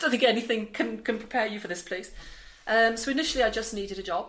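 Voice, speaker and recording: A woman talks at a very fast pace with a fairly high pitch and fairly even intonation. Audible room echo surrounds her voice. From South Wales. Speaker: charity manager. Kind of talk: interview. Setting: office in a busy charity building. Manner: hesitant, many fillers and repetitions.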